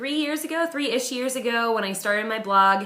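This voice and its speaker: A woman speaks loudly amid noticeable background noise and audible room echo. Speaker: blogger and author. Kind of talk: casual video message.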